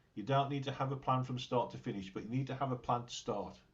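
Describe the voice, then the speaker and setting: This man's voice comes across as somewhat breathy. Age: 60s. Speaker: glass artist. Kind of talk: interview conversation.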